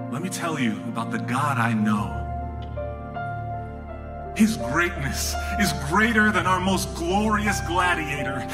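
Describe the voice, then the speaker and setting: Loud background noise sits behind a man speaking. He talks at a fairly slow pace with long, frequent pauses. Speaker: spoken word poet. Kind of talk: live spoken word poetry performance. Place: stage.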